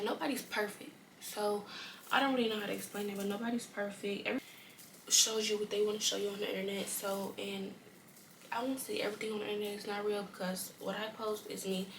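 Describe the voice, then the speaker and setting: A soft-spoken woman talks very fast in a medium pitch with monotone, flat intonation. Noticeable background noise and audible room echo surround her voice. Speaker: YouTuber. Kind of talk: casual chat.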